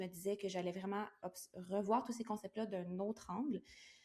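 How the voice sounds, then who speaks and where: A woman with a Quebec accent talks in a monotone, flat intonation. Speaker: entrepreneur, virtual assistant. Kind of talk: interview. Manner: hesitant fillers.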